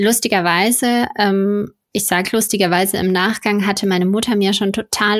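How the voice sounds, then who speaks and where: This woman has a plain, everyday voice at medium pitch. She keeps a moderate pace and fairly even intonation. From Ruhr area, Germany. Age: 30s. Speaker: magazine founder and editor. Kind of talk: casual interview.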